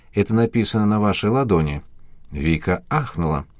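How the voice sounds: The voice here is a natural reading voice.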